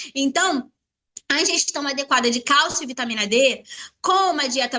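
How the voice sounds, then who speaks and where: A woman projects a raised, high-pitched voice with lively intonation. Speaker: product distributor presenter. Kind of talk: sales pitch. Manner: fast.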